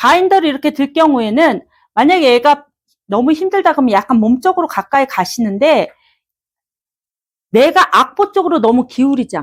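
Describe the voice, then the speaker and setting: Long, frequent pauses break up a woman's high-pitched speech at a moderate pace. Her intonation is lively, and the recording is very clean with a silent background. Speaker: vocal coach. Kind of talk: seminar lecture. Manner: animated.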